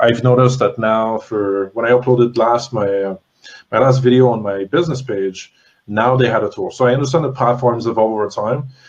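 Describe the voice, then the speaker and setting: A man speaks in a plain, everyday voice with a Canadian accent. His pitch is medium, his intonation fairly even and his pace fairly quick. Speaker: interview host. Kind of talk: live Q&A interview.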